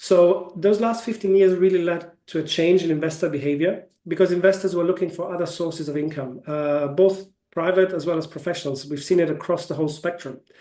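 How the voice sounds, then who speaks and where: In a German accent, a man with a high pitch talks at a fairly quick pace with fairly even intonation. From Germany. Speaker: ETF sales executive. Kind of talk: webinar Q&A. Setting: online webinar. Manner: hesitant, many fillers.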